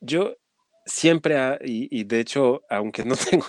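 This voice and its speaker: A man with a French accent speaks at a fairly slow pace. The recording is very clean, and the background is silent. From France. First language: French (speaking Spanish). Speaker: nonprofit executive. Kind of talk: interview.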